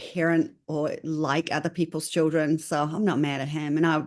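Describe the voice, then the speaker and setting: With a strong New Zealand accent, a woman talks at a moderate pace and a fairly low pitch against a quiet background. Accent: New Zealand, still pretty strong. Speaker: consultant. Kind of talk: interview.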